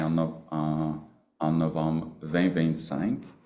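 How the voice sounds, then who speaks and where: Audible room echo surrounds a man with a very deep, low pitch. His tone is dark and mellow. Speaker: Cree grand chief chairing regional council meeting. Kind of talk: council meeting speech. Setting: video conference. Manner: halting, many hesitations.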